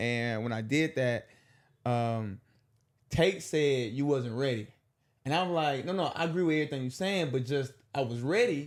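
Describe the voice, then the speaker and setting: A man's fairly high voice in a Southern accent, at a moderate pace with ordinary pitch variation and long, frequent pauses. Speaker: comedian. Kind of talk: casual chat.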